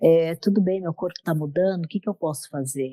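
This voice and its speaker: A dark, mellow tone with ordinary pitch variation, in a dry, close sound with no echo. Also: woman. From Brazil, São Paulo. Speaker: menopause and yoga coach. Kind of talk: podcast interview.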